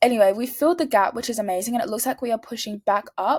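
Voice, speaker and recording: A woman's fairly high, animated voice in a dry, close sound with no echo. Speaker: trading vlogger. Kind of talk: casual screen-share analysis. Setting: at home. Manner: fast.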